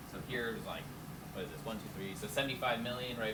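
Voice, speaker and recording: A man at medium pitch, with noticeable background noise and audible room echo. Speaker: chemistry instructor. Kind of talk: lecture. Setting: lab classroom with students. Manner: loud, straining to project. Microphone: no microphone, hard to hear at back.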